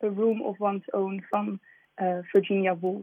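The pace of this woman's speech is fairly slow. Her voice is medium in pitch. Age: 20s. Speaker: writer. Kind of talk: radio interview. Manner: hesitant, many fillers.

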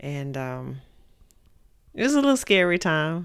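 With an East Texas accent, a woman speaks in a very deep, low voice. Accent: East Texas Southern US. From Texas, Mount Pleasant. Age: 40s. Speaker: podcast host's mother. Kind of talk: casual interview about life story.

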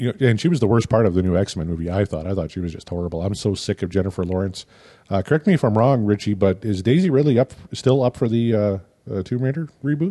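This man speaks very fast in a Canadian accent, his pitch fairly low and his tone dark and mellow. His intonation is lively, and the background is quiet. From Canada. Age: 40s. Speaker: podcast producer and co-host. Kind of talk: casual chat.

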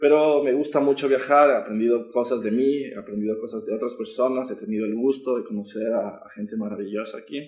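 Hardly pausing, a man talks at a fairly quick pace in a normal speaking voice, with medium pitch and ordinary pitch variation. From Ecuador, Quito. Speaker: student. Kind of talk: interview.

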